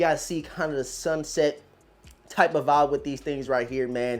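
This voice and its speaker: A man's animated tone with ordinary pitch variation. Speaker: sneaker reviewer. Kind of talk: casual unboxing review.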